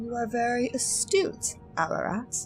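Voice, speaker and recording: Music plays in the background as a woman talks at a fairly high pitch. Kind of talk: audiobook-style game book reading.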